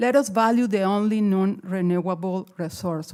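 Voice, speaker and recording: The woman's tone is dark and mellow. She speaks fairly slowly at a medium pitch. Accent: non-native. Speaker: resident speaking at council meeting. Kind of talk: public comment at council meeting. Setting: council chamber.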